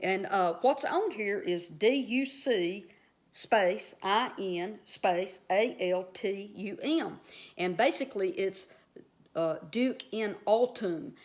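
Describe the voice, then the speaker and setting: A woman with a strong Southern US accent speaks very slowly at a medium pitch with lively intonation, in a very clean recording with a silent background. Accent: strong Southern US drawl. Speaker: Bible teacher. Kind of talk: casual video teaching. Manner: conversational, filler-heavy.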